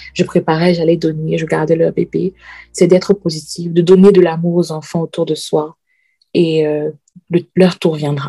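A woman talks at a fairly low pitch in a dark, mellow tone, with monotone, flat intonation. Her pace is fairly slow, and the sound is dry and close with no echo. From Cameroon. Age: 30s. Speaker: podcast guest, risk analyst. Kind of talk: personal testimony. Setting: remote recording. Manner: halting, frequent repetitions.

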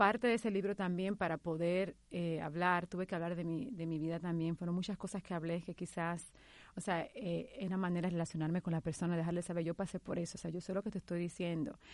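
Over a quiet background, a woman talks at a very fast pace with hardly any pauses. Her voice is fairly low in pitch, with fairly even intonation. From Dominican Republic. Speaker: psychotherapist and health coach. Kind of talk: interview testimony. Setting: studio.

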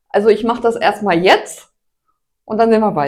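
This woman speaks with vocal fry. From northern Germany, Hanover region. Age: 60s. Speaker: amateur road cyclist. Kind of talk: casual interview chat. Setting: kitchen.

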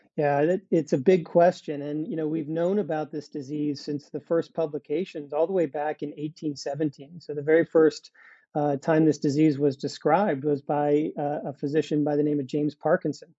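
At a fairly quick pace with hardly any pauses, a man talks in monotone, flat intonation at a fairly high pitch. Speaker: biotech company CEO. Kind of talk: interview, explanatory.

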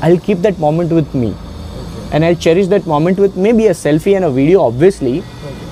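Noticeable background noise accompanies a man with a high pitch and ordinary pitch variation. He talks at a fairly quick pace with hardly any pauses. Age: 30s. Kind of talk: one-on-one coaching conversation. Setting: in person meeting.

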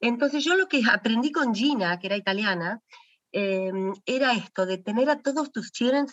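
This is a plain, everyday voice from a woman, fairly high in pitch with lively intonation. She keeps a moderate pace. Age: 40s. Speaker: founder of children's language program. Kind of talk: interview conversation.

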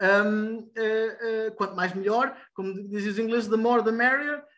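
The speaker is a man with a high pitch. He talks at a fairly slow pace with fairly even intonation. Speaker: student magazine editor. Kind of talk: online editorial meeting. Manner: halting, many fillers.

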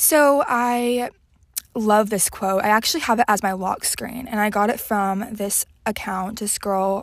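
Using an ordinary speaking voice, a woman with an American accent talks at a fairly high pitch and a fairly slow pace. Her intonation is fairly even, and the recording is very clean with a silent background. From Texas, Houston. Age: young. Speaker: podcast host. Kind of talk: casual solo chat.

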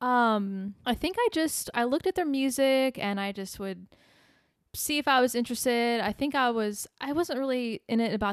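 Speaking with an American accent at a moderate pace, a woman's high-pitched voice comes through a very clean recording with a silent background and a dry, close sound with no echo. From US Midwest, small-town Illinois. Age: 30s. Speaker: musician. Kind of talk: casual chat. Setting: living room.

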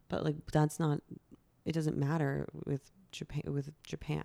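A woman speaks in a very deep, low pitch with a dark, mellow tone, monotone, flat intonation, and very even loudness. Her pace is fairly slow with long, frequent pauses, in a dry, close sound with no echo. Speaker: podcast co-host. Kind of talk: casual chat. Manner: frequent laughter.

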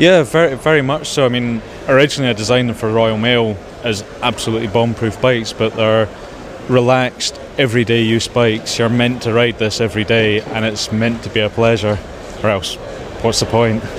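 Over noticeable background noise, a man speaks at a fairly quick pace in a medium pitch with fairly even intonation. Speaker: bicycle inventor. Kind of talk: recorded interview.

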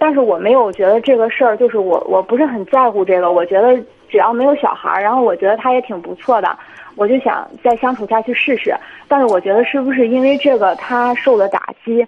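Background noise is noticeable as a woman speaks at a fairly quick pace. Her pitch is fairly high, with ordinary variation. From Jinan, Shandong, China. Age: 20s. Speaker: caller. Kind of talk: phone-in advice call.

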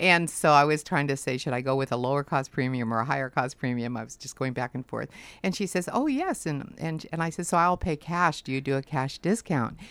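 In a very clean recording with a silent background, a woman with a very deep, low pitch talks at a fairly quick pace with ordinary pitch variation. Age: 60s. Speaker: insurance agent. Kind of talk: casual interview chat. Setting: studio.

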